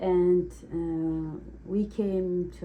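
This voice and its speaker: A woman speaks with an Uzbek accent. Audible room echo surrounds her voice. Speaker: cake decorator taking a mock speaking test. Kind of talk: mock language exam answers. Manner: halting.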